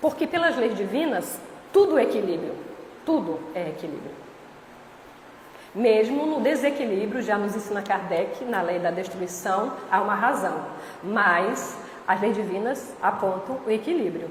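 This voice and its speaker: At a fairly slow pace with long, frequent pauses, a woman of medium pitch speaks with lively intonation amid noticeable background noise and audible room echo. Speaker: spiritist lecturer. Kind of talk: lecture.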